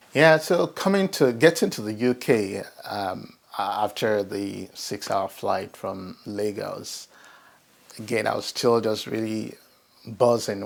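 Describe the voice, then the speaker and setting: Very slowly, a man with a Nigerian accent speaks at a fairly low pitch with ordinary pitch variation. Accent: Nigerian (Yoruba) English. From Nigeria, Ibadan. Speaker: professional network member. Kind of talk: personal testimony interview. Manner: hesitant, many fillers and restarts.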